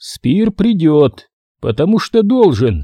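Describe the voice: In a dry, close sound with no echo, a man puts on a character voice with a dark, mellow tone, fairly high pitch and big pitch swings at a slow pace.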